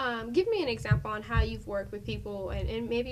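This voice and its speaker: Fairly quick speech from a woman against noticeable background noise. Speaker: TV interview host. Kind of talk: interview. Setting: studio. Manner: formal.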